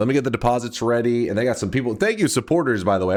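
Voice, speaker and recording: With ordinary pitch variation and a medium pitch, a man talks at a very fast pace on a very clean recording with a silent background. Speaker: video game streamer. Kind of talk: casual live-stream chat. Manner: loud; animated.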